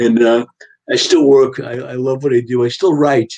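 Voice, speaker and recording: A fairly quick delivery in a New York accent. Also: man. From Long Island, New York. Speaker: writer. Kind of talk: casual chat.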